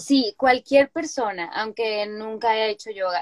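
With lively intonation, an ordinary speaking voice goes at a fairly slow pace in a dry, close sound with no echo. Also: woman. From Sinaloa, Mexico (Culiacán). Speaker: yoga teacher and weaver. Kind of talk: interview.

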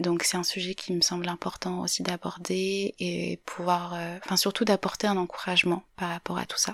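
A woman talks at a moderate speed. The audio is close and dry, without any echo. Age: 20s. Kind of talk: personal reflection monologue. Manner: hesitant, many fillers.

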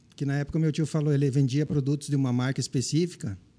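A man with a dark, mellow tone, a fairly high pitch and a very fast pace. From southwestern Paraná, Brazil. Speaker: pet shop business owner and veterinarian. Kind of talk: interview conversation.

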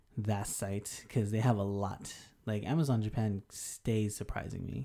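In a very clean recording with a silent background, a man with an American accent speaks at a moderate pace, his fairly low voice dark and mellow with fairly even intonation. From Denver, Colorado. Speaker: podcast co-host, English teacher. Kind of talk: casual chat.

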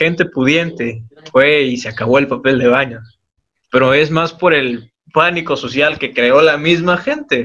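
At a fairly slow pace, a man speaks with an unremarkable speaking voice, a fairly high pitch and ordinary pitch variation. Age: 20s. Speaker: university student, podcast co-host. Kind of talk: casual group discussion.

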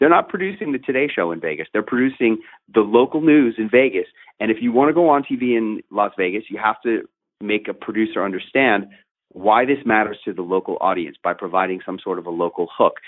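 A man with a medium pitch moves at a fairly quick pace, with lively intonation. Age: 50s. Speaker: media trainer and TV personality. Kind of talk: interview.

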